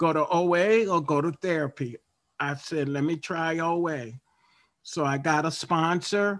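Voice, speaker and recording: A man with a fairly high voice speaks at a fairly slow pace with ordinary pitch variation. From Baltimore, Maryland, US. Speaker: recovery group member sharing. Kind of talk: testimony. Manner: halting, many fillers.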